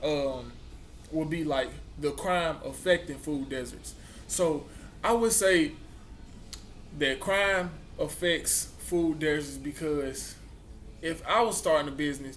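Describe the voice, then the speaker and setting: A man with a Mississippi accent talks at a fairly slow pace and a fairly high pitch. There's audible echo from the room. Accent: Southern US, Mississippi. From US South. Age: young. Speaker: college student vlogger. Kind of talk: casual vlog talk. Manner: halting.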